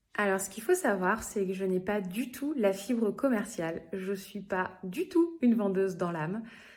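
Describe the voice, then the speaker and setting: With ordinary pitch variation, a woman talks at a moderate pace and a medium pitch. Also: hardly any pauses. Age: 30s. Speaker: direct sales consultant. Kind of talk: interview testimony. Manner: hesitant, many fillers.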